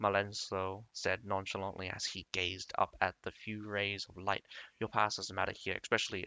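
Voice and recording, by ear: A natural voice, reading aloud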